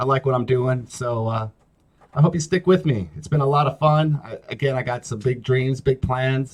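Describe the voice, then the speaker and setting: A man speaks with a medium pitch and ordinary pitch variation. His voice is somewhat breathy. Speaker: talk show host. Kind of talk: casual solo talk show monologue. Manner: slow, not very clean delivery; halting, many fillers.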